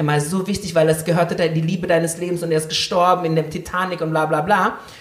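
An animated tone comes through at a fairly quick pace amid noticeable background noise. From Indonesia. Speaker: podcast co-host. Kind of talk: casual chat. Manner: loud.

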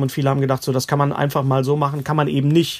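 A man's fairly high voice stays monotone and flat throughout. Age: 50s. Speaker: stand-up comedian. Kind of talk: casual chat. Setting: remote call from home.

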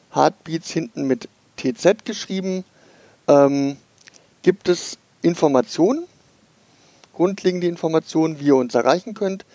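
A man with a high pitch speaks with long, frequent pauses, in a dry, close sound with no echo. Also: ordinary pitch variation. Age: 40s. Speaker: podcast host, IT worker with congenital heart defect. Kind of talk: casual podcast chat.

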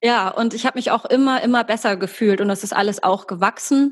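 A woman's voice with fairly even intonation. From Germany, Hamburg. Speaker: actress and voice coach. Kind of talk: podcast interview.

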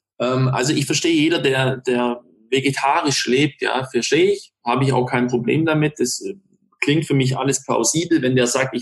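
This man speaks at a moderate pace with a medium pitch, a somewhat breathy quality, and very even loudness. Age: 30s. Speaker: restaurateur and hunter. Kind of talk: casual interview.

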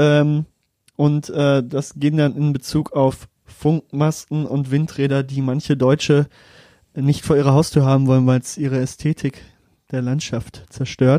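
The man's fairly high voice has a dark, mellow tone and a monotone, flat delivery at a fairly slow pace, with a dry, close sound and no echo. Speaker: podcast co-host. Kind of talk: casual chat.

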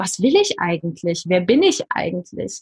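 A somewhat breathy woman talks at a moderate pace. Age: 40s. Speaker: life coach. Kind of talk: podcast interview.

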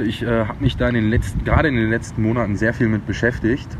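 Noticeable background noise sits behind the speaker. He is a man with a medium-pitched voice. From Sauerland, Germany (Brilon area). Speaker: chef. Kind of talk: interview. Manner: halting.

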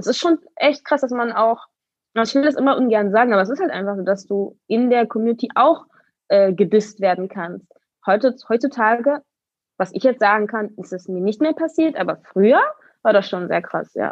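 Using a plain, everyday voice, a woman talks at a moderate pace with a fairly high pitch and lively intonation. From Berlin, Germany. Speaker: roller skater and dancer. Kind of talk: interview.

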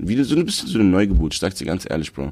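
This is a man speaking. His voice has vocal fry. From Berlin (Moabit). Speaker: rapper and producer. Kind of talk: casual interview.

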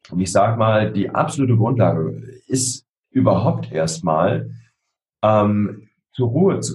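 A man speaks with a fairly low pitch and audible vocal fry. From Berlin (Spandau). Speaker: emotional intelligence trainer and author. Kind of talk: interview. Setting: video call.

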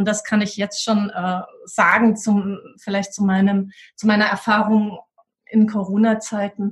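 This woman's voice sits at a medium pitch and is somewhat breathy. She speaks at a fairly slow pace with monotone, flat intonation. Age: 40s. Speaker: school leadership coach, former head teacher. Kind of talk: interview.

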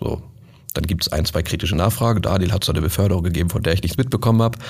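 A man talks at a very fast pace. His voice is very deep and low, with ordinary pitch variation. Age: 30s. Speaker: sales manager. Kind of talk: casual chat.

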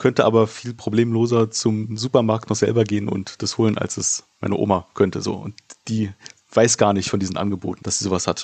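Here is a man with a plain, everyday voice. He talks at a fairly quick pace and a medium pitch. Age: 30s. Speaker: podcast host. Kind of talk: interview.

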